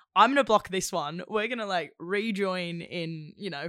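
On a very clean recording with a silent background, a woman with a fairly low pitch and a bright, sharp tone talks at a moderate pace with ordinary pitch variation. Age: 20s. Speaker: actor. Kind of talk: casual chat.

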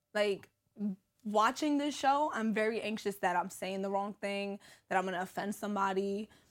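On a very clean recording with a silent background, a woman with a New York accent speaks at medium pitch and a moderate pace, with ordinary pitch variation. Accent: New York City. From New York City, Brooklyn (East New York). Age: 30s. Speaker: social media comedian and reality TV personality. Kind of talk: casual interview chat. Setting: studio.

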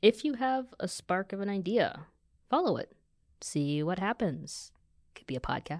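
With an American accent, the speaker uses very wide pitch swings and big swings in loudness at a moderate pace, leaving long, frequent pauses, on a very clean recording with a silent background and a dry, close sound with no echo. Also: woman, medium pitch for a woman. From US, Kansas City and Virginia Beach. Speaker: podcast co-host, graphic and motion designer. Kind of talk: casual chat. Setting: studio.

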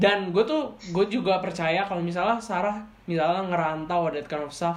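A woman speaks at a moderate pace with a fairly low pitch. The recording has audible room echo and noticeable background noise. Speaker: podcast host. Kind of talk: casual chat. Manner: animated.

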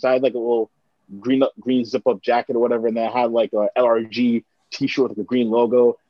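A man speaks with a Toronto accent. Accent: Canadian (Toronto). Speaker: musician and broadcaster. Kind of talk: casual chat.

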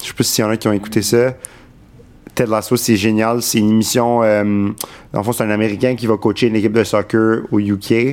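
At a moderate pace, a man talks in an unremarkable speaking voice of medium pitch, with fairly even intonation and very even loudness. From Quebec, Montreal. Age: 20s. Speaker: political staffer. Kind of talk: casual chat.

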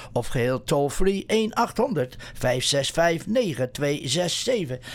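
The man's fairly high voice carries lively intonation. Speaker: radio host. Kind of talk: news reading. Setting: studio. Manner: halting.

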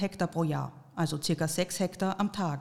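A plain, everyday voice comes through with fairly even intonation. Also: woman. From Austria. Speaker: podcast host. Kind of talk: scripted narration.

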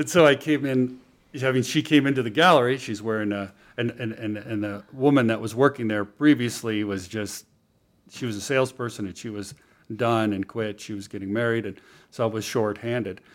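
In a plain, everyday voice, a man with an American accent and medium pitch speaks at a fairly quick pace, with ordinary pitch variation and big swings in loudness. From California, near San Francisco. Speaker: writer and former art gallery owner. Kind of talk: casual interview chat.

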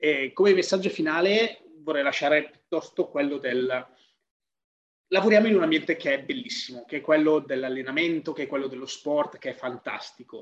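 There's an ordinary speaking voice here, a man pitched fairly high. He keeps a moderate pace with ordinary pitch variation. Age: 30s. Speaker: fitness professional. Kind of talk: casual chat.

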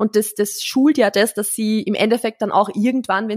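Very fast speech from a woman at medium pitch with fairly even intonation, in a dry, close sound with no echo. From Austria, rural. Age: 20s. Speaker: marketing consultant and former fitness coach. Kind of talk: casual chat.

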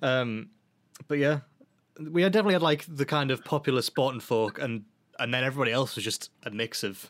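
A man with a British accent talks at a fairly quick pace. His pitch sits in the medium range and varies in an ordinary way. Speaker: podcast host, band member. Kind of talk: casual chat. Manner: chatty, joking.

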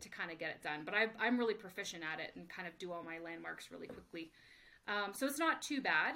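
A woman with an unremarkable speaking voice talks at a fairly quick pace. Her pitch is medium and her intonation lively. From Canada. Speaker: performance dietitian and exercise physiologist. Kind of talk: casual interview. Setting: home office.

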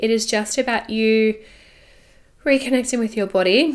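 Her Australian accent clear, a woman talks at a moderate pace with a fairly high pitch and fairly even intonation. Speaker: podcast host, sex and intimacy coach. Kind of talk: solo podcast monologue.

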